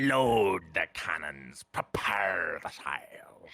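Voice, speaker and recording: A man puts on a character voice, fairly low in pitch, and talks at a very slow pace. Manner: hearty, swashbuckling.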